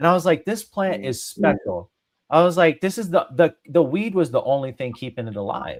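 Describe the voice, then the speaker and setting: In an American accent, the speaker talks at a moderate pace with very wide pitch swings. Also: man, high pitch for a man. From Sicily, then US. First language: Italian. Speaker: cannabis grower and military veteran. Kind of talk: podcast interview. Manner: repetitive false starts.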